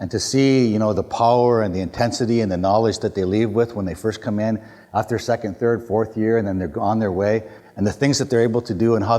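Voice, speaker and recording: This is an unremarkable speaking voice, a man at medium pitch talking at a fairly quick pace with fairly even intonation. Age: 50s. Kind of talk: public talk. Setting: university hall with audience. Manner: casual, conversational with many fillers.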